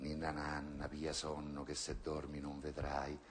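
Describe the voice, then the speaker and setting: The delivery is very slow, with monotone, flat intonation. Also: man. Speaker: actor. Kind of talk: poetry reading. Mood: ironic, bitter, theatrical. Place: stage.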